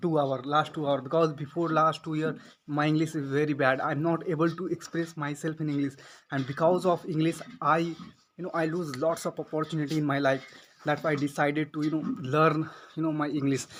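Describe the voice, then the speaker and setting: In a very clean recording with a silent background, a man talks at a fairly quick pace in a fairly high pitch with a monotone, flat intonation. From India, village. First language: Hindi or regional Indian language. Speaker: English learner vlogger. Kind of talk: tutorial. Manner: halting, many fillers.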